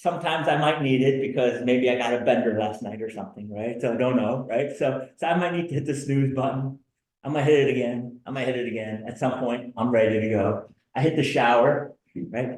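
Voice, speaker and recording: At a fairly quick pace, a man talks in an ordinary speaking voice of medium pitch with fairly even intonation. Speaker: business workshop presenter. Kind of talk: lecture. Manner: conversational.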